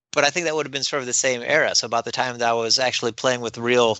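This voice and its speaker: At a very fast pace, a man with an American accent speaks at medium pitch with fairly even intonation. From US Midwest. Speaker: librarian. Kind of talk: casual interview.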